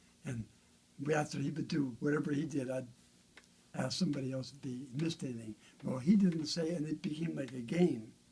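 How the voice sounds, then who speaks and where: A man talks at a fairly quick pace in a fairly high, somewhat breathy voice. His loudness swings widely, and he leaves long, frequent pauses. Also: ordinary pitch variation. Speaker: bass guitar builder. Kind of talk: casual chat. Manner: fast.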